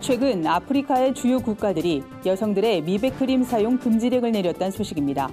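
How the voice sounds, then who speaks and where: Music plays behind a woman speaking at a fairly quick pace. Her pitch is fairly high and her intonation lively. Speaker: news reporter. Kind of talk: news briefing read.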